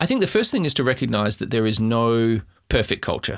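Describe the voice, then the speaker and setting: A man with an Australian accent and a bright, sharp tone, medium pitch with ordinary variation, moderate pace, on a very clean recording with a silent background. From South Australia, Adelaide Hills. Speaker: tech company founder and CEO. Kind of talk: interview.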